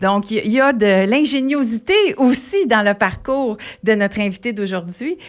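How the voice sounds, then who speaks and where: A woman talks in a Quebec accent at a moderate pace, her pitch fairly high with ordinary variation. The recording is very clean, the background silent. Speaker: radio host. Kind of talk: radio interview.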